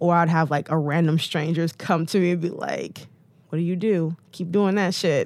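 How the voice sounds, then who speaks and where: With an American accent, a woman speaks at a fairly low pitch. The recording is very clean, with a silent background. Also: moderate pace. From Detroit, US Midwest. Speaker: model and blogger. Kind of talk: casual interview chat. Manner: animated.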